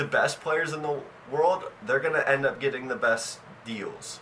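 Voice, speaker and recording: A man's voice over noticeable background noise. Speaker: sports commentary vlogger. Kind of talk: opinion monologue. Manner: animated, emphatic; repetitions and restarts.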